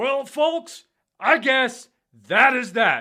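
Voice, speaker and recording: A man's cartoonish character voice, extremely high in pitch, on a very clean recording with a silent background. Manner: casual, folksy.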